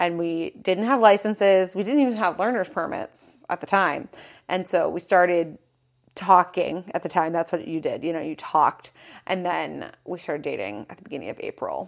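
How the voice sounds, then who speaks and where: A woman with vocal fry and a fairly low pitch speaks with lively intonation on a very clean recording with a silent background. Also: moderate pace. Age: 20s. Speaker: podcast co-host, fashion content creator. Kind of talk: casual chat.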